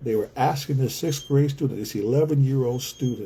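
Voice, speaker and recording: Somewhat breathy and dark, mellow in tone, a man's fairly high voice moves at a moderate pace with ordinary pitch variation. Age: 60s. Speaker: community organizer and author. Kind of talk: livestream monologue. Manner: repetitive, emphatic.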